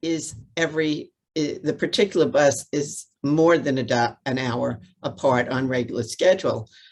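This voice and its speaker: A woman with a New York accent talks at a fairly slow pace in a very deep, low voice with ordinary pitch variation. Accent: New York City. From New York City. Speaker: transit advocate. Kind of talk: press conference remarks. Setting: video call.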